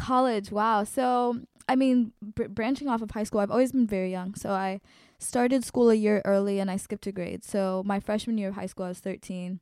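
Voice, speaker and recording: A woman with an American accent and a plain, everyday voice speaks at a fairly quick pace in a medium pitch with fairly even intonation, on a very clean recording with a silent background. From Colorado, US. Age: 20s. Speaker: activist and educator. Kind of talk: interview.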